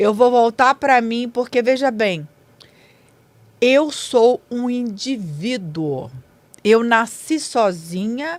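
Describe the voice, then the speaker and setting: Her pitch fairly high and her intonation lively, a woman speaks at a very slow pace with long, frequent pauses. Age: 60s. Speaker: businesswoman and author. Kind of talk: podcast interview. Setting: studio.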